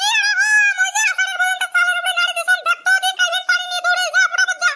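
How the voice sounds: Extremely high-pitched, a man does a cartoonish character voice with a bright, sharp tone. He talks at a very fast pace in a monotone with flat intonation.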